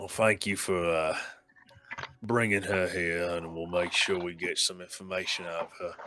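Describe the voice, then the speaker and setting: A man puts on a raspy character voice with a very deep, low pitch at a moderate pace. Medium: actual play. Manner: polite, formal.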